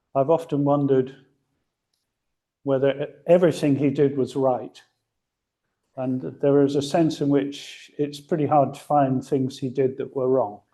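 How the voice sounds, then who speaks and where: With a dark, mellow tone, a man speaks in a monotone, flat way at a moderate pace, leaving long, frequent pauses. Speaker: philosopher. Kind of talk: conference talk. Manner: hesitant with fillers.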